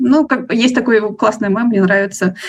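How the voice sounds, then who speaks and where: With ordinary pitch variation, a woman talks in a voice marked by vocal fry. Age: 20s. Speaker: book blogger, nonprofit worker. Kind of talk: casual chat.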